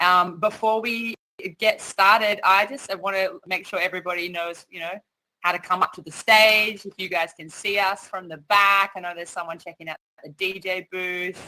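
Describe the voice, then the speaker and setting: A woman speaks in an Australian accent at a moderate pace and medium pitch. Her tone is bright and sharp, and her loudness swings a lot. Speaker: event MC and music artist. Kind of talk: hosting a virtual panel event. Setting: virtual metaverse event online. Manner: animated.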